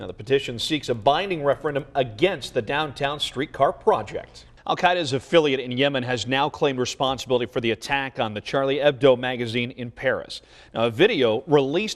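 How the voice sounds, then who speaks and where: Against a quiet background, a man with a fairly high pitch talks fairly quickly with ordinary pitch variation, an ordinary speaking voice. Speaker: TV news anchor and reporter. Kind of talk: TV news anchoring.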